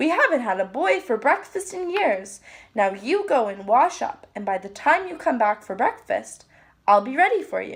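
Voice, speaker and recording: A woman puts on a character voice, high-pitched and at a moderate pace. Her pitch swings very widely. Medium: read story. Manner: fussy, motherly.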